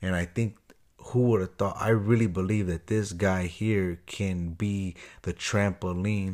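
Very deep and low, this man's voice comes in an American accent with fairly even intonation. He keeps a moderate pace in a very clean recording with a silent background. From Chicago. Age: 30s. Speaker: podcast host. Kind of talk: casual solo podcast monologue. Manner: halting, many fillers and repeats.

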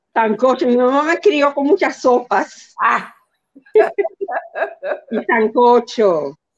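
Speaking very slowly, a woman uses a high pitch with very wide pitch swings. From New York (Bronx) and New Jersey, Dominican parents. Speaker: community leader and consultant. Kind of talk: interview.

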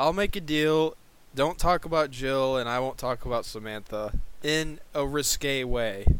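A man speaks in an ordinary speaking voice, pitched fairly high. He talks at a fairly slow pace with ordinary pitch variation. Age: 20s. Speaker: podcast co-host. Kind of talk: casual chat.

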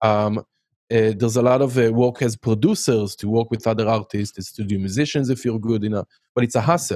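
Dry and close with no echo on a very clean recording against a silent background, a man with an Israeli accent speaks fairly quickly at a medium pitch, his tone dark and mellow and his intonation fairly even. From Israel, Haifa. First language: Hebrew. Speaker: music production teacher. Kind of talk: casual chat.

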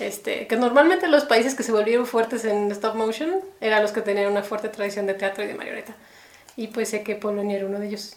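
A woman with a fairly high pitch talks at a very fast pace with ordinary pitch variation over noticeable background noise. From Mexico City. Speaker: animator. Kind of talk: casual interview.

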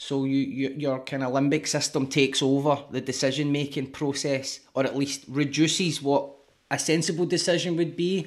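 A man with a Glasgow accent speaks at a moderate pace and fairly high pitch, with fairly even intonation. The recording is very clean, the background silent. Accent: Scottish (Glasgow). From Scotland. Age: 30s. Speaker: rapper and author. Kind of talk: casual interview.

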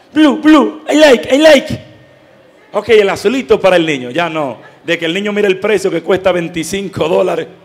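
Noticeable background noise accompanies a high-pitched man speaking at a moderate pace with very wide pitch swings. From Dominican Republic. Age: 20s. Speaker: lay pastoral associate, catechist. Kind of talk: catechetical talk to parents.

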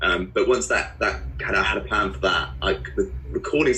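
In a room with audible echo and noticeable background noise, a man talks with a southern English accent. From southern England (Guildford, Surrey). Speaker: musician. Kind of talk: interview.

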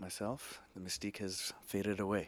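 A man with a plain, everyday voice talks at a fairly low pitch and a fairly quick pace. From Edmonton, Canada. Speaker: guest. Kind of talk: casual chat.

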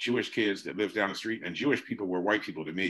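A man's very fast, fairly even delivery with a bright, sharp tone and a New Jersey accent, over a quiet background. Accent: New Jersey American English. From US Northeast. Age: 60s. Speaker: artist and teacher. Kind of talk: interview conversation.

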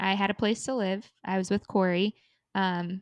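A woman with an American accent speaks at a fairly slow pace in a normal speaking voice of medium pitch. The sound is dry and close with no echo, over a quiet background. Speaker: podcast co-host. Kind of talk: casual chat.

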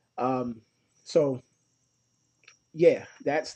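Speaking very slowly, a man has a dark, mellow tone in a dry, close sound with no echo. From Ohio, Cleveland area. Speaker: podcast host. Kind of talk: solo podcast monologue. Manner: frequent filler words.

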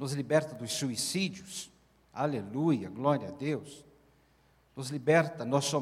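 Somewhat breathy and very slow, a man speaks with ordinary pitch variation and long, frequent pauses amid audible room echo. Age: 70s. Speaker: pastor, speaker on marriage. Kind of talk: sermon.

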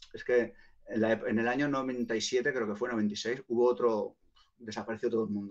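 Medium in pitch, a man talks at a fairly slow pace. His intonation is monotone and flat. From Barcelona, Spain. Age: 40s. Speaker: hip hop artist and producer. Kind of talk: casual interview. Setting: live online stream.

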